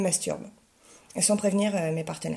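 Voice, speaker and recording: In a normal speaking voice, a woman with a medium pitch speaks with ordinary pitch variation. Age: 30s. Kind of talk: testimony.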